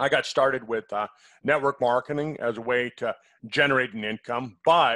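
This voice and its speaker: A man at a fairly quick pace, dry sound with no echo, quiet background. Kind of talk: casual personal story to camera. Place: home room. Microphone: headset.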